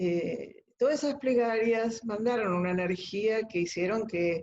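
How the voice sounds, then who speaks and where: This woman's pitch varies in an ordinary way as she goes at a very slow pace. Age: 70s. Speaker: COVID-19 survivor. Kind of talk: interview answer.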